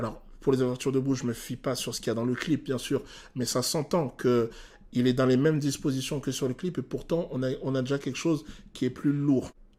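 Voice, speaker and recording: The pace is fairly quick from a man with a medium pitch. His tone is dark and mellow. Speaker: vocal coach. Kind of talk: reaction video analysis of a song. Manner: hesitant, many filler sounds.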